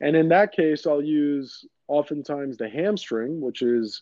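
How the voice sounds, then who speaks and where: The delivery has lively intonation. It moves at a fairly slow pace. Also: man. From New York City (Queens), Greek American community. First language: Greek. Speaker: orthopedic surgeon. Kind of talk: interview.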